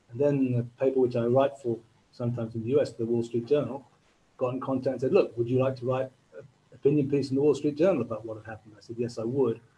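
Very fast and somewhat breathy, the voice has a dark, mellow tone, fairly even intonation and big swings in loudness. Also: man, medium pitch for a man. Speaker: journalist. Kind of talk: webinar talk. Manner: halting. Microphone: mic cutting out.

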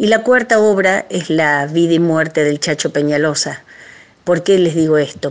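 A woman speaks at a moderate pace in a plain, everyday voice. Her pitch is fairly low, with ordinary pitch variation. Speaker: folk singer. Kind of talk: recorded recommendation message. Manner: casual, chatty.

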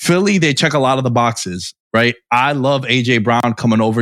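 A man with a normal speaking voice at a medium pitch and fairly quick pace, on a very clean recording with a silent background, dry and close with no echo. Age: 30s. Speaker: sports podcast host. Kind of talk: casual chat.

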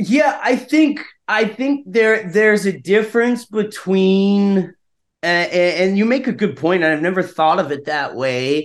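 A man with an American accent, high-pitched, at a fairly slow pace, with lively intonation over a quiet background. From US South, North Carolina. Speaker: actor and screenwriter. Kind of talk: interview conversation.

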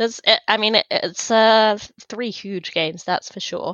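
A woman with a London accent speaks at a fairly slow pace. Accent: sounds like from London. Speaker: hockey podcast co-host. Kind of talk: casual chat. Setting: remote recording.

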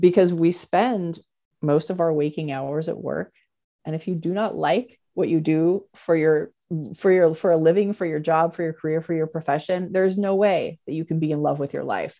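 A woman's fairly low pitch and dark, mellow tone on a very clean recording with a silent background. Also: fairly even intonation, moderate pace. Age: 40s. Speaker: CEO of a creative events and education business. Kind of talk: interview.

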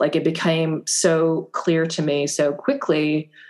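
A woman with a fairly low pitch speaks fairly slowly in an American accent, using a normal speaking voice. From US Midwest, Fargo, North Dakota. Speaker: novelist. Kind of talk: interview.

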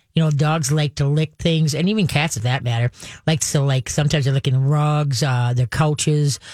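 A woman with a low voice and slightly mellow tone speaks with ordinary pitch variation.

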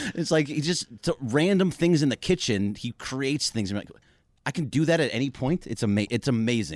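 A man with an unremarkable speaking voice talks at a fairly quick pace with a medium pitch and lively intonation. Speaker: sports radio co-host. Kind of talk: casual chat.

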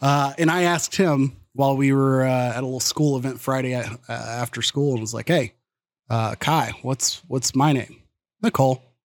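In a plain, everyday voice, a man with a medium pitch speaks at a moderate pace with ordinary pitch variation, the sound dry and close with no echo. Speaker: podcaster. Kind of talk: casual chat. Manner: laughs often.

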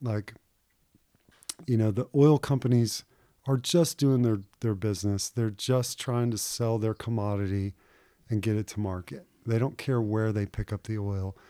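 Long, frequent pauses break up this man's speech, which has a Texan accent and ordinary pitch variation. His tone is dark and mellow, and the sound is dry and close with no echo. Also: medium pitch for a man, moderate pace, very clean recording, silent background. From Houston, Texas. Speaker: fishing guide. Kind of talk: interview.

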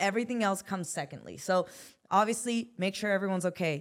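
A woman with an American accent speaks in a plain, everyday voice at a medium pitch, with ordinary pitch variation. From US West Coast, South Central Los Angeles. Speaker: personal injury attorney. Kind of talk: interview.

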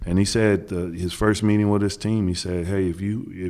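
A man's fairly low, monotone, flat voice with an American accent. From Kansas, US Midwest. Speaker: NBA head coach. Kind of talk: podcast interview. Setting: in person, Los Angeles.

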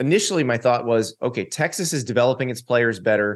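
With an American accent and lively intonation, a normal speaking voice moves at a moderate pace over a quiet background. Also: man. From Florida, US South. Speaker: college football writer and analyst. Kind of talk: casual chat.

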